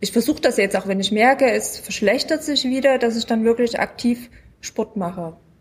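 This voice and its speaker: A woman's fairly high-pitched voice, a plain, everyday voice with ordinary pitch variation. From Munich. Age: 40s. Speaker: self-help group member, patient. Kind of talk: casual chat. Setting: at a medical conference.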